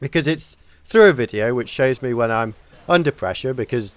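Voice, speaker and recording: With an English accent, a man talks at a medium pitch. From England. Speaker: gaming commentator. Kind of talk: video game commentary. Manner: casual, halting with repetitions.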